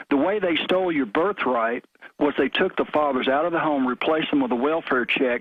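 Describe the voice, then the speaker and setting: In a Southern US accent, a man speaks at a fairly quick pace and a fairly high pitch. His pitch varies in an ordinary way, and his loudness stays very even. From US South, Memphis, Tennessee. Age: 50s. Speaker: caller. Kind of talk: radio call-in.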